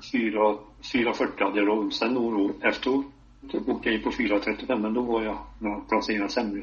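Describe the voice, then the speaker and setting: A man at a medium pitch, with monotone, flat intonation and a fairly slow pace. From Hälsingland, northern Sweden. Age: 80s+. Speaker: veteran cross-country skier. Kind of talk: casual interview. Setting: phone call.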